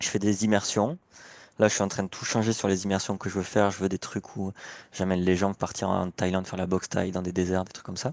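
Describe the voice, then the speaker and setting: Against a quiet background, a man talks at a very fast pace in a fairly low pitch with monotone, flat intonation. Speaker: coach and therapist. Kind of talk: self-introduction, casual. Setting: video call, at parents' home.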